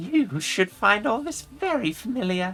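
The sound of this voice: Using a put-on character voice, a woman speaks at a fairly slow pace, her medium pitch making big swings and her tone fairly bright, with faint music in the background.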